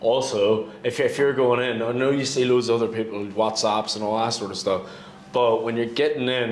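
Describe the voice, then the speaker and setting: Speaking at a moderate pace, a man with a Northern Irish accent talks at a medium pitch with fairly even intonation, amid audible room echo and noticeable background noise. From Northern Ireland. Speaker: real estate broker. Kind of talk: casual chat.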